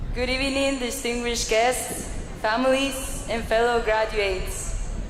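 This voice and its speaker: The speaker has a Spanish accent and a moderate pace. Audible room echo and noticeable background noise fill the recording. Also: woman. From Mexico. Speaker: adult school graduate. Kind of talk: graduation speech.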